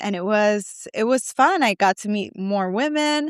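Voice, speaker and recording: A woman speaks in a normal speaking voice with a fairly high pitch and lively intonation. The recording is very clean with a silent background, and the sound is dry and close with no echo. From New York. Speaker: spray tan artist and founder. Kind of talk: casual interview chat.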